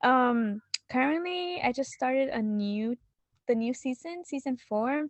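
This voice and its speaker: Her intonation is lively and her pitch is high. This woman speaks with a Spanish accent. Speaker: podcast guest. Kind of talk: casual chat. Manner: halting, many fillers.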